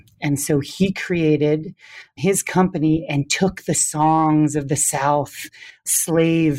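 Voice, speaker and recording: The tone is dark and mellow, captured dry and close with no echo in a very clean recording with a silent background. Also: man. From US Midwest, Wisconsin. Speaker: dance professor. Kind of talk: interview.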